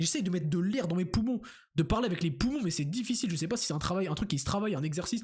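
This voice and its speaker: Very fast speech from a man, high-pitched, with ordinary pitch variation. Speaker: youtuber. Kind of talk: casual vlog monologue. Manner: halting, repeats words.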